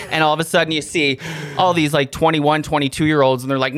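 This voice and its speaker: The speech comes at a very fast pace amid noticeable background noise. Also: man. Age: 30s. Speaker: comedian and radio co-host. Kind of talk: casual chat. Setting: studio.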